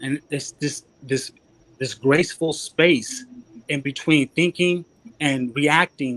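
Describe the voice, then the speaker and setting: A man speaks at fairly high pitch with ordinary pitch variation. The recording is very clean with a silent background and a dry, close sound with no echo. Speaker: spiritual talk show host. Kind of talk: casual chat. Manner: fast.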